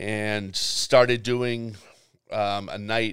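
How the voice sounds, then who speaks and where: This speaker has a Boston accent and fairly even intonation. The recording is very clean, with a silent background. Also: man. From Boston, West Roxbury. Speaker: nightlife promoter. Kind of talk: casual chat.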